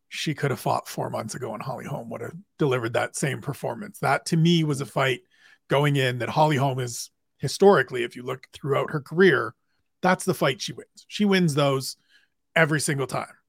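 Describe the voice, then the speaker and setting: A somewhat breathy man with fairly high pitch, a fairly quick pace and big swings in loudness, in a very clean recording with a silent background and dry, close sound with no echo. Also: ordinary pitch variation. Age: 40s. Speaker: MMA journalist. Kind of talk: casual chat.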